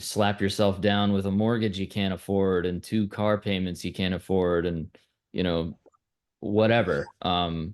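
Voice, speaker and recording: With an American accent, a man talks at a fairly slow pace in a very deep, low pitch and a monotone, flat intonation. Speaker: band member. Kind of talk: interview.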